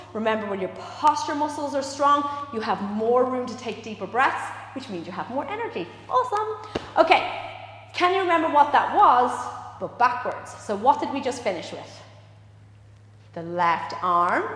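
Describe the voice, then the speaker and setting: Speaking at a moderate pace, a woman uses a high pitch with very wide pitch swings and long, frequent pauses. Noticeable background noise and audible room echo surround her voice. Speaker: dance and movement instructor. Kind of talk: live exercise class instruction. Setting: dance studio, live stream.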